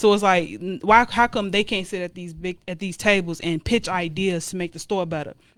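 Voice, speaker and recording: A woman with medium pitch and an ordinary speaking voice talks at a fairly quick pace with hardly any pauses and big swings in loudness. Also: ordinary pitch variation. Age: 20s. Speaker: YouTuber and guest. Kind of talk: casual chat.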